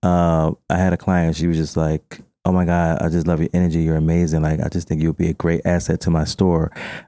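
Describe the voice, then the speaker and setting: A man's very deep, low voice with a dark, mellow tone moves at a fairly quick pace in a monotone, flat delivery, very even in loudness, with a dry, close sound and no echo. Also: hardly any pauses. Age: 40s. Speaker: makeup artist and fashion entrepreneur. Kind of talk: casual interview.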